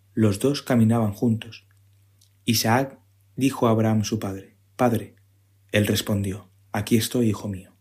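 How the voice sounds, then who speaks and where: The voice is somewhat breathy, with flat, monotone intonation. It moves at a fairly slow pace, broken by long, frequent pauses. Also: man, medium pitch for a man. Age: 30s. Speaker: civil service exam candidate, parish community member. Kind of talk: scripture reading.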